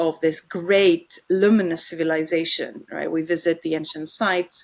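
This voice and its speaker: In a Greek accent, a woman speaks fairly slowly with fairly even intonation. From Greece. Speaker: philosopher. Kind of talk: interview conversation.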